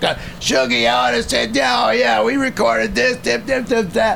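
A man's raspy, put-on character voice, fairly high in pitch, at a moderate pace with very even loudness and clear background noise. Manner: casual, reminiscing.

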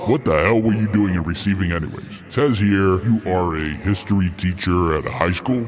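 A man's very deep, low voice at a fairly quick pace, with ordinary pitch variation, hardly any pauses and noticeable background noise. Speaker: voice actor doing an impression. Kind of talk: comedy skit impression.

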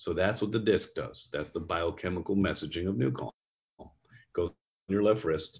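A man with an American accent speaks at a moderate pace in a very deep, low voice with vocal fry, ordinary pitch variation and long, frequent pauses. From New York State. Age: 50s. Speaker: neuroscience company executive. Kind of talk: interview.

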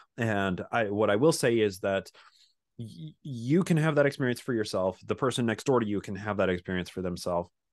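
Against a quiet background, a man with a Utah accent talks at a fairly quick pace and fairly low pitch, his intonation lively. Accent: Utah American English. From Utah, suburb of Salt Lake City. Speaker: podcaster and independent history researcher. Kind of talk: interview conversation.

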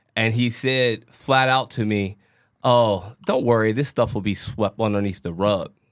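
In a very clean recording with a silent background, a man with an ordinary speaking voice talks at a fairly slow pace and medium pitch, his intonation fairly even. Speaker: podcast host. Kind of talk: casual podcast discussion.

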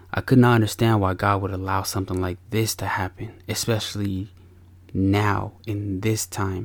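At a moderate pace, a man with a warm tone speaks at a fairly low pitch in a monotone, flat intonation. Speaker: podcast host and father. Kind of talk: podcast monologue mixing confessional storytelling with a sermon-like pep talk. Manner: earnest and warm, with a preacher-like, punchy delivery.

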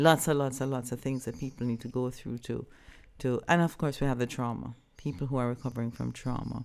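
A woman with a very deep, low pitch and vocal fry speaks at a fairly quick pace with fairly even intonation in a very clean recording with a silent background. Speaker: psychologist and sexologist. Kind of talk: interview, explanatory talk.

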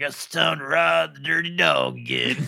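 A gravelly, raspy put-on character voice from a man at a moderate pace

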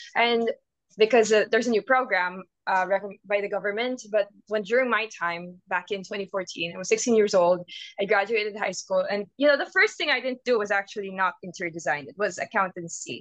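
At a fairly quick pace, a woman with a Filipino accent speaks at medium pitch with ordinary pitch variation. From Philippines. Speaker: interior designer. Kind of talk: casual chat.

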